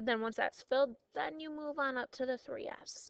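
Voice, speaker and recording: Lively intonation marks this woman's high-pitched voice. Her pace is moderate. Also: dry, close sound with no echo. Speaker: high school chemistry teacher. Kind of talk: recorded class notes lecture. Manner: casual, lots of fillers.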